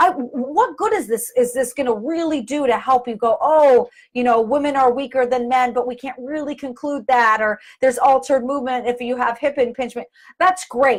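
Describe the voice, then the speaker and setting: A woman's high voice comes out loud at a moderate pace, its pitch varying in an ordinary way. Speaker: physical therapist and performer. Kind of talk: live video talk explaining a study. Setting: live video. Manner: halting, self-correcting.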